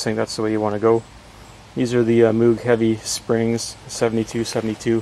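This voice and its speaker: Over light background noise, a man speaks at a moderate pace in a monotone, flat intonation, with a dry sound and no echo. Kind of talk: tutorial. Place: garden. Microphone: phone near.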